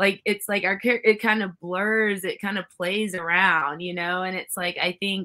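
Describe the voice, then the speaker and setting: Loud and bright with a sharp tone, a woman speaks with fairly even intonation. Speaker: former pro wrestler. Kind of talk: casual chat. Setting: video call.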